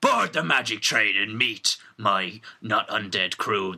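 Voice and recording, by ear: In a raspy, put-on character voice with an Irish accent as part of the act, the speaker goes at a fairly slow pace. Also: man, fairly low pitch for a man.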